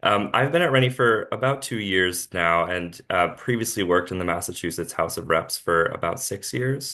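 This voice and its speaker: Against a quiet background, a man with a fairly low pitch and a bright, sharp tone talks at a moderate pace with lively intonation and hardly any pauses. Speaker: education policy researcher. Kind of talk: panel presentation on a video call.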